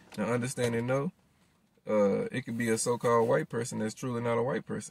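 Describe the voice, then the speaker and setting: A man speaks at a fairly quick pace. The sound is dry with no echo. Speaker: religious commentator. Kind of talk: sermon. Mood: earnest preaching tone. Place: car. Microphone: phone near.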